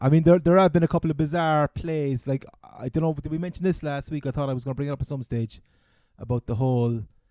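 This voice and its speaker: A man with a Cork accent talks at a very fast pace in a fairly high pitch with ordinary pitch variation, the sound dry and close with no echo. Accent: Cork Irish. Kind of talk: casual podcast banter.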